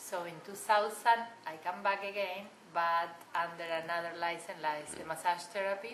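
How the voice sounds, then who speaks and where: In a non-native accent, a woman speaks at a moderate pace with a fairly low pitch and fairly even intonation, her loudness swinging widely amid audible room echo and noticeable background noise. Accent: foreign, non-American. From Argentina. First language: Spanish. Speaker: massage therapist. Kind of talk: interview.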